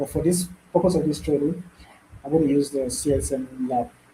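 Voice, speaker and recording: Fairly high in pitch, a man speaks in a dark, mellow, somewhat breathy tone with ordinary pitch variation. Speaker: bootcamp instructor. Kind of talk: live online tutorial. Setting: video call with screen sharing.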